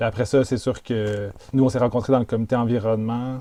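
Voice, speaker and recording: A man's dark, mellow tone in monotone, flat intonation. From Quebec, Montreal suburbs (Chambly). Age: 30s. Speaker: intentional community founder. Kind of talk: interview. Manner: halting, many fillers and repetitions.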